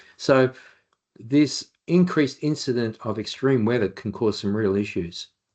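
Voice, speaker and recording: A man with an Australian accent, medium pitch and lively intonation. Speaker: occupational hygienist. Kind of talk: webinar presentation. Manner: fast when excited.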